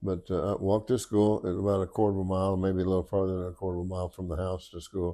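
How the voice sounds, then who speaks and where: Very deep and low, a man's voice has a dark, mellow tone and a Midwestern US accent. He speaks at a very fast pace with hardly any pauses, his intonation monotone and flat. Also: very clean recording, silent background. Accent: rural Midwestern US. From Oklahoma and Kansas farm country. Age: 80s+. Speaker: retired state trooper. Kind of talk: interview storytelling. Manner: halting.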